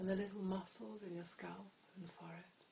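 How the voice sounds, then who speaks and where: The speaker is soft-spoken. The tone is soothing. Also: woman. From England. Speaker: hypnotherapist. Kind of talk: guided hypnosis trance. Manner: soft-spoken, slow, soothing.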